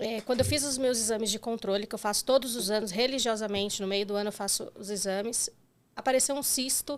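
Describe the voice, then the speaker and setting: A woman with a fairly high pitch speaks at a fairly quick pace and fairly even intonation on a very clean recording with a silent background. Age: 40s. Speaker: breast cancer survivor. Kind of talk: interview testimony. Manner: halting.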